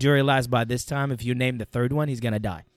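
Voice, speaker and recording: A man speaks with an Arabic accent. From Iraq, Baghdad. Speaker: former Iraqi army NCO. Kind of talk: interview storytelling.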